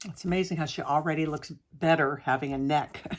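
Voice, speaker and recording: Soft-spoken, a woman talks in a very deep, low voice with fairly even intonation. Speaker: art tutorial creator. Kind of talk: tutorial. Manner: hesitant with many fillers.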